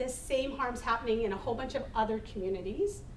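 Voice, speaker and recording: A woman speaks at a fairly quick pace in a high pitch with a Manitoban accent, with noticeable background noise and audible room echo. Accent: Canadian (Manitoba). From northern Manitoba, Canada. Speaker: harm reduction advocate. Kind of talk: panel talk. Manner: halting, many fillers.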